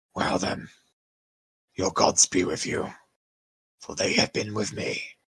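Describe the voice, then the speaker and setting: Using a put-on character voice, a man speaks fairly slowly, raspy and fairly low-pitched. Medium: actual play. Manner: measured, grave.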